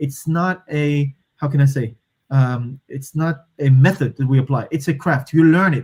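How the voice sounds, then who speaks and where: The voice is somewhat breathy, with fairly even intonation. It moves at a moderate pace. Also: man, fairly high pitch for a man. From Morocco. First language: Moroccan Arabic. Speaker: systems thinker and strategy consultant. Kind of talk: podcast interview. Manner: hesitant, many fillers and restarts.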